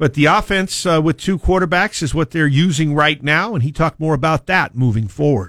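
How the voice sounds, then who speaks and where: A man with a normal speaking voice talks at a fairly high pitch and a fairly quick pace with hardly any pauses and very even loudness, on a very clean recording with a silent background and a dry, close sound with no echo. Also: ordinary pitch variation. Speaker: sports play-by-play announcer. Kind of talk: radio sports analysis chat.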